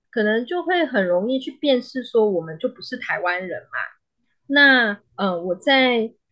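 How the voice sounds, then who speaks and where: A woman with a slight Malaysian accent speaks at a high pitch and a fairly slow pace. Her pitch swings very widely, and her loudness shifts a great deal. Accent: slight Malaysian Chinese accent in Mandarin. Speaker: psychologist. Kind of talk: interview. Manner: halting.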